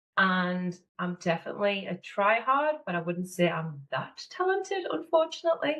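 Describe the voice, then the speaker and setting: With a northeast English accent, a woman of medium pitch speaks at a moderate pace with hardly any pauses and very wide pitch swings. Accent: northeast English (Sunderland). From northeast England, Sunderland. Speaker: business manager and mentor. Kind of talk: podcast interview.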